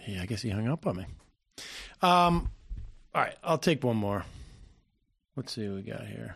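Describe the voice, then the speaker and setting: A man talks at a moderate pace. Behind him the background stays quiet. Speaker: radio host. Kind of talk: live political talk show. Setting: studio.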